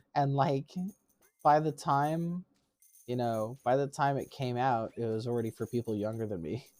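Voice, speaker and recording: Moderate-paced speech with music in the background. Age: 30s. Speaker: streamer. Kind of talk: live stream gameplay chat. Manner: casual, conversational.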